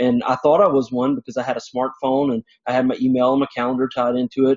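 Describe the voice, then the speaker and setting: A man speaks very fast at a medium pitch, his intonation monotone and flat. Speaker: conference presenter. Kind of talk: conference presentation. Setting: stage with audience. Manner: loud.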